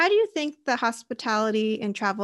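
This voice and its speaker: A woman's fairly high voice at a moderate pace, with ordinary pitch variation and an American accent, an ordinary speaking voice, on a very clean recording with a silent background. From United States. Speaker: podcast host. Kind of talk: interview.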